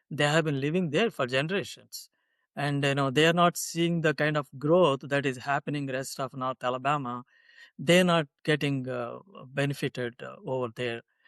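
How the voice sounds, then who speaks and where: A man with an Indian accent, fairly high pitch and fairly even intonation, against a quiet background. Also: moderate pace, dry, close sound with no echo. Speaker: political candidate. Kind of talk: interview. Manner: hesitant, many fillers.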